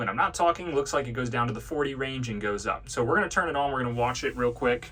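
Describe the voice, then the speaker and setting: This man speaks very fast at a medium pitch with ordinary pitch variation. Noticeable background noise runs under his voice. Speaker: tractor dealership salesman. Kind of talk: product walkthrough tutorial. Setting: inside tractor cab. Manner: casual, with many filler ums.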